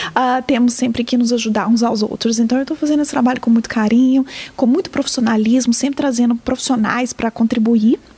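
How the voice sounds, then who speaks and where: A woman speaks in a high pitch with fairly even intonation. Noticeable background noise is present. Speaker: community organization staff. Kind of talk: interview.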